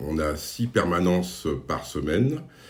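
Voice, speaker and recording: A man's very deep, low voice shows vocal fry, with audible room echo around it. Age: 60s. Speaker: job workshop facilitator. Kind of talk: staff interview. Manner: hesitant, many fillers.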